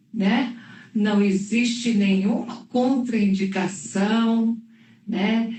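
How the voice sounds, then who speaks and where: In a room with audible echo, a woman speaks very slowly at a fairly high pitch with fairly even intonation. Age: 60s. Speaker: oncologist. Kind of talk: live interview. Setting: livestream.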